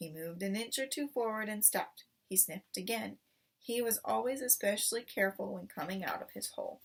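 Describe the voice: The clip is plain reading aloud. Words are read out plainly from start to finish.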